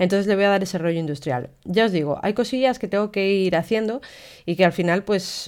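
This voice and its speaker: Animated in tone, a woman speaks at a medium pitch. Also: very clean recording, silent background. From Spain, León. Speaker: photographer and podcaster. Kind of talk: casual solo podcast monologue.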